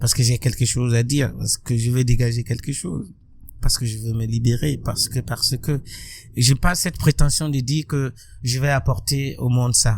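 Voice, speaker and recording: Somewhat breathy, a man speaks at medium pitch with ordinary pitch variation and a moderate pace. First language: Burkinabe local language (speaking French). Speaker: musician and social activist. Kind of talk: interview.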